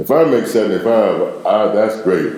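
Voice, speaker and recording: Speaking in a Memphis accent at a fairly slow pace, a man is heard with audible room echo and noticeable background noise. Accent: Southern US (Memphis). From US South. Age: 60s. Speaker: interviewee. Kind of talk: casual chat. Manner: animated.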